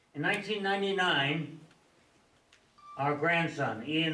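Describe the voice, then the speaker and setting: With noticeable background noise and audible room echo, a man speaks fairly slowly at a fairly high pitch, his pitch varying in an ordinary way. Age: 80s+. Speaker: resident speaking at public comment. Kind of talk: public comment at town board meeting. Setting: town board meeting room with crowd.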